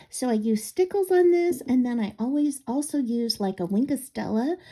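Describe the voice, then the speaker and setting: A woman talks at a moderate pace in a somewhat breathy voice with lively intonation. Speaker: craft video maker. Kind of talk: crafting tutorial. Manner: halting, frequent um fillers.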